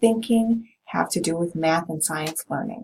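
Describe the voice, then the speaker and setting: A somewhat breathy, fairly low female voice with a slight Minnesota accent. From US Midwest, Minnesota. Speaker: college professor. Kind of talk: course introduction to students. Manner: casual, many filler ums.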